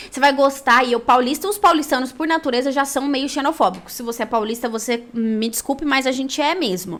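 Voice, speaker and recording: Very fast and high-pitched, a woman speaks in a bright, sharp tone with ordinary pitch variation. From Brazil, São Paulo (Pirituba). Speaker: women's branding coach. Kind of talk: live stream talk with personal testimony. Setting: live stream. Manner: casual, conversational.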